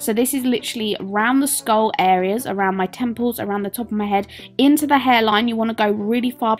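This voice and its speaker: The speech shows ordinary pitch variation, with noticeable background noise behind it. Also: woman. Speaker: makeup tutorial youtuber. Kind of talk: tutorial. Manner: casual, many fillers.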